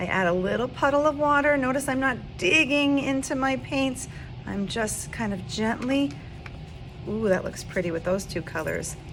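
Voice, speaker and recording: Over noticeable background noise and audible room echo, a woman with a high pitch speaks at a moderate pace with lively intonation. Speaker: art teacher. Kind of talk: tutorial.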